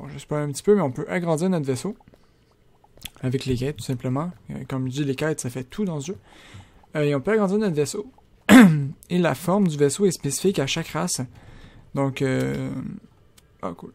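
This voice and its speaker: With lively intonation and long, frequent pauses, a man speaks fairly high in a dark, mellow tone. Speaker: gaming YouTuber. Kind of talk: let's play commentary. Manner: fast.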